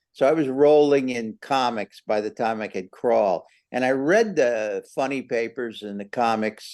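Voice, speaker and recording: Against a quiet background, a man speaks at a moderate pace in a medium pitch with a dark, mellow tone. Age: old. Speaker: amateur radio cartoonist. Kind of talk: club presentation talk. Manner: halting, many fillers and restarts.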